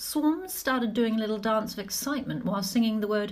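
This unforced reading voice has ordinary pitch variation.

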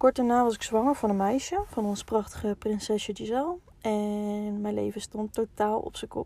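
A woman with an ordinary speaking voice, a fairly high pitch, ordinary pitch variation, a moderate pace and hardly any pauses. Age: 20s. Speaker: podcast host. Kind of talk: personal storytelling monologue. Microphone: poor sound quality in first episode.

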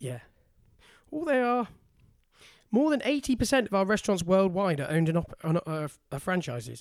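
Here a man with a British accent and a high pitch speaks at a moderate pace with very wide pitch swings and long, frequent pauses, on a very clean recording with a silent background. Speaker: podcast co-host. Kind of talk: casual banter chat.

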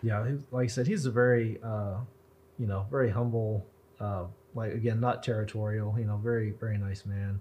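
In an American accent, a man speaks at a moderate pace with a fairly low pitch. His voice is somewhat breathy, and his intonation is fairly even. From US Southwest, Roswell, New Mexico. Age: 30s. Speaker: author and historian. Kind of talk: casual interview. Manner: even-keeled.

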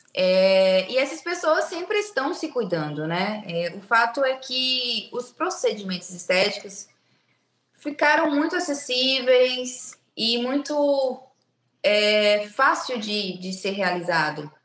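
A woman talks very slowly at a high pitch. Her pitch swings very widely. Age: 20s. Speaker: biomedical aesthetics clinic owner. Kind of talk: casual interview chat. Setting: video call from her clinic.

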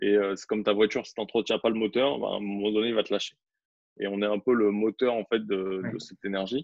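A man's fairly low, monotone voice at a very fast pace, with flat intonation and big swings in loudness. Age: 30s. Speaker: photographer and videographer. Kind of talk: casual interview.

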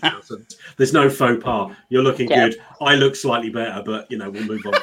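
Here a man with a British accent talks in a playful tone at medium pitch. He moves at a fairly quick pace with fairly even intonation. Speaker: podcast co-host. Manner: jokey, playful.

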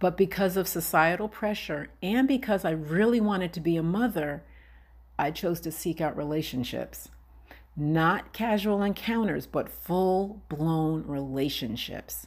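A woman's fairly low, lively voice at a fairly slow pace, an ordinary speaking voice. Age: 50s. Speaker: podcast host. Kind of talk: personal monologue.

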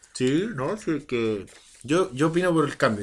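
A man is speaking. He takes a fairly slow pace. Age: 30s. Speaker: podcast co-host. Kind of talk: casual chat. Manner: animated.

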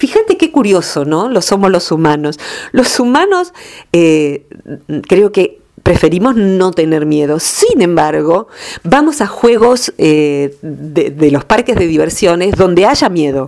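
With very wide pitch swings yet very even loudness, this voice moves at a fairly slow pace. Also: woman, medium pitch for a woman. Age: 50s. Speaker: radio columnist. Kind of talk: radio talk segment.

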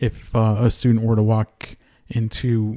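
The voice has a dark, mellow tone, somewhat breathy, with an American accent. It comes through dry and close, with no echo. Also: man. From Connecticut. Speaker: university executive chef. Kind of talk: casual interview. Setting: studio.

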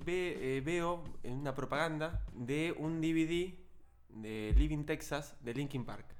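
Audible room echo surrounds a man speaking at a very slow pace. His pitch is fairly high, with ordinary variation. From southern Greater Buenos Aires, Argentina. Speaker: podcast co-host. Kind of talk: casual chat.

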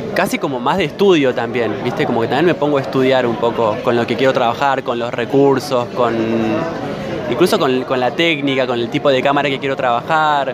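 Over crowd noise and audible room echo, a man talks at a fairly quick pace with a medium pitch and ordinary pitch variation. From Argentina, Santa Rosa, La Pampa. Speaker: filmmaker. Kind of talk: interview.

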